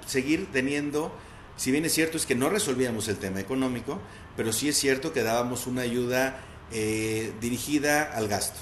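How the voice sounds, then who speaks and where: At a moderate pace, a man with a fairly high pitch speaks amid audible room echo. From Mexico, León, Guanajuato. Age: 30s. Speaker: municipal legal official. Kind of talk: interview. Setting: video call.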